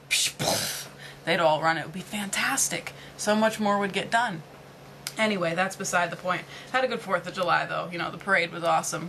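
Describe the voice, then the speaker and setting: Here a woman talks at a medium pitch with ordinary pitch variation. Noticeable background noise is present. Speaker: vlogger; retail worker. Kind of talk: casual vlog monologue. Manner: fast; animated.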